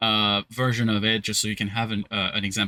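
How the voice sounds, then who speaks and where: A man's bright, sharp voice is captured with a dry, close sound and no echo. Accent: French. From southern France, Cannes. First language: French. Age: 30s. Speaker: French teacher. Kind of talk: language lesson.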